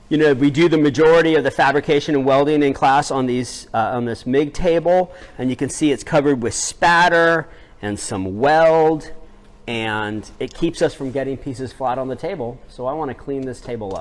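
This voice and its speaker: A man speaks at a moderate pace in a fairly high voice with ordinary pitch variation. The recording is very clean, with a silent background. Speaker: metal shop teacher. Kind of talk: tutorial. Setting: outdoors. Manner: loud.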